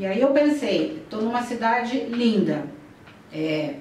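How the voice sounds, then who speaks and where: Amid noticeable background noise and audible room echo, a woman speaks very slowly at a fairly high pitch, her voice swinging very widely in pitch. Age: 60s. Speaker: educational psychologist. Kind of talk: conference talk. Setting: conference. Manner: halting.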